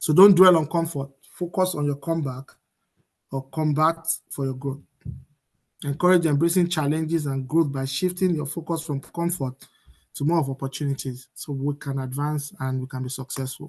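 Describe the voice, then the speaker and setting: A somewhat breathy man's voice with fairly even intonation. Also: fairly high pitch for a man. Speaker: motivational speaker. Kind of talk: seminar presentation. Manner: fast.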